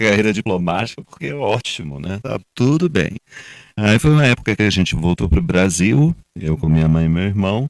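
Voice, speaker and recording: Using a normal speaking voice, a man talks at a moderate pace with fairly low pitch and lively intonation. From Brazil, partly raised in Colombia. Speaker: actor and theatre director. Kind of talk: panel discussion. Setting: live event with audience.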